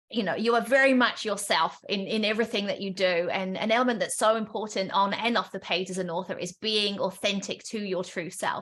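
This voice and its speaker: A woman talks at a moderate pace with fairly even intonation. Her fairly high voice has a bright, sharp tone. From Essex, England. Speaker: event moderator. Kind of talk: interview.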